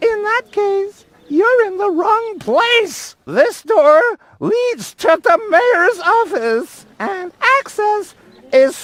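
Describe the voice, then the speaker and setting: In a put-on character voice, the speaker uses an extremely high pitch at a very slow pace. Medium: video game. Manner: dry, officious, sarcastic.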